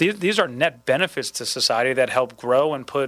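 An ordinary speaking voice from a man at a medium pitch and fairly quick pace, dry and close with no echo. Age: 30s. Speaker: political candidate. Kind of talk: interview.

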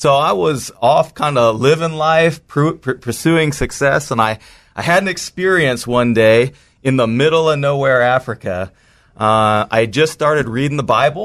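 At a moderate pace and with very even loudness, a man talks in a fairly high pitch with ordinary pitch variation against a quiet background. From US West Coast, San Francisco Bay Area. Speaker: pastor and author. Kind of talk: interview.

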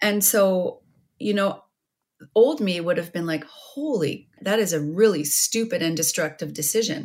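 In a Canadian accent, a woman with a medium pitch uses an ordinary speaking voice, speaking at a fairly slow pace with lively intonation. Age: 50s. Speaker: writer and former radio broadcaster. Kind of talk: interview about grief and overdose crisis.

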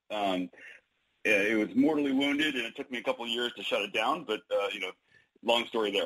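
With an ordinary speaking voice, a man talks fairly quickly at a medium pitch, his pitch varying in an ordinary way. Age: 40s. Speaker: author. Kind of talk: radio interview.

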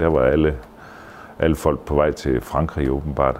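At a very slow pace and with fairly even intonation, the voice comes through noticeable background noise. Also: man. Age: 60s. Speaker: theatre manager and artist manager. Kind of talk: casual interview. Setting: hotel. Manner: halting.

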